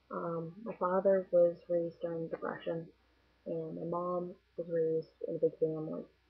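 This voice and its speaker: A woman with an American accent and monotone, flat intonation, over noticeable background noise. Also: fairly low pitch for a woman, moderate pace. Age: 20s. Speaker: vlogger. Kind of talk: casual vlog monologue. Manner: casual, hesitant with fillers.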